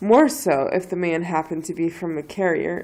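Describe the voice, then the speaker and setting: A woman speaks with an American accent in a fairly low pitch, her tone dark and mellow with vocal fry. Her pace is moderate and her pitch varies in an ordinary way. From southeastern Pennsylvania, near Philadelphia. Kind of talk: reading a novel passage aloud.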